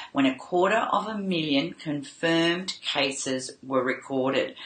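A woman's very deep, low voice carries audible room echo. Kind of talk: casual vlog chat. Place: home room.

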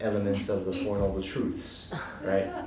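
Speaking fairly quickly with an American accent, a somewhat breathy man is heard with audible room echo and light background noise. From Hawaii, USA. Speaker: Buddhist monk and teacher. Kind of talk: Dharma talk to a live audience. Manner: casual, humorous. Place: hall.

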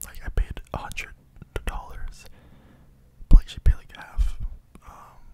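A man whispers at a fairly slow pace. His loudness swings widely from moment to moment. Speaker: content creator. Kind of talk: casual soft-spoken ASMR-style chat. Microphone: studio mic.

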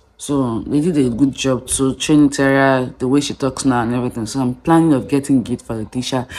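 Her pitch very deep and low, a woman speaks at a fairly quick pace with hardly any pauses, a dark, mellow tone and fairly even intonation. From Nigeria. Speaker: vlogger. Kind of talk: vlog. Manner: halting.

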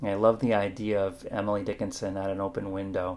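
A man's voice with a fairly low pitch. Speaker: poet. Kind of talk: poetry reading. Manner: measured, hushed, contemplative; formal, warm. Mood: warm, animated, smiling. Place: kitchen. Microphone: webcam.

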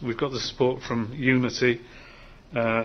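A man at medium pitch, fairly slow in pace, with little pitch movement

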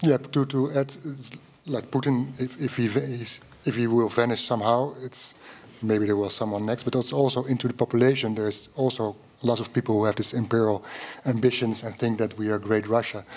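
Speaking at a fairly quick pace, a man with a Dutch accent holds a medium pitch and fairly even intonation. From Netherlands. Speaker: journalist. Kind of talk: panel discussion. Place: hall. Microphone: podium.

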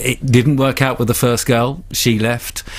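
He speaks with an English accent at a moderate pace. His intonation stays fairly even. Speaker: journalist. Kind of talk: interview. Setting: studio.

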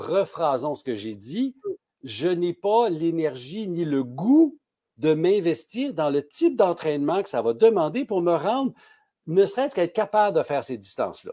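Against a quiet background, a high-pitched man with a dark, mellow tone talks at a fairly slow pace with very wide pitch swings and long, frequent pauses. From Quebec. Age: 60s. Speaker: pharmacist; guest. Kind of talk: casual interview. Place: home room.

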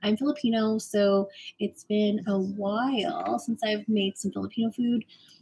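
A woman's somewhat breathy voice with a dark, mellow tone, a moderate pace, and light background noise. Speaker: cooking livestreamer. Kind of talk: casual vlog chat. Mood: cheerful, excited. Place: kitchen. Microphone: phone near.

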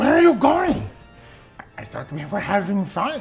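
Clear music plays behind a man with a high pitch and very wide pitch swings. He talks at a moderate pace. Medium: comedy sketch. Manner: cheerful, eager host, oblivious.

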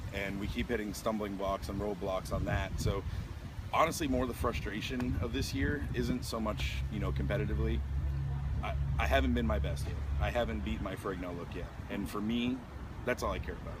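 Noticeable background noise sits behind a dry sound with no echo. A man talks at a fairly quick pace. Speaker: interviewee. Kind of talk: interview answer. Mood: reflective, somewhat frustrated. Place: street. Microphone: handheld.

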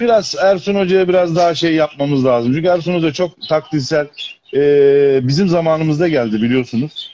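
Over light background noise, a man speaks at a moderate pace with very even loudness and ordinary pitch variation. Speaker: guest. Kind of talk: live-stream call-in chat. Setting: video call on a live stream. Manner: polite, effusive. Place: home room. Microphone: video call.

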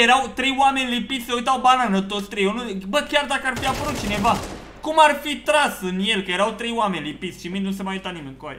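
A man's extremely high, raised and projected voice, animated and very fast, with big swings in loudness, ordinary pitch variation and light background noise. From Romania. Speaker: gaming YouTuber; gaming streamer. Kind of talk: live gameplay commentary. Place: home room.

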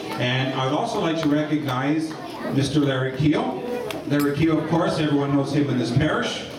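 Noticeable background noise and audible room echo surround a man's voice. He talks at a fairly quick pace with fairly even intonation. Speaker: speaker. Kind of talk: acknowledgement speech. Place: hall.

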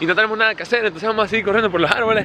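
A man talks in a raised, projected voice that is high-pitched for a man. The sound is dry with no echo, and there is noticeable background noise. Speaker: YouTuber vlogger. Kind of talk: casual vlog narration. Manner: animated. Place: street. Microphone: phone near.

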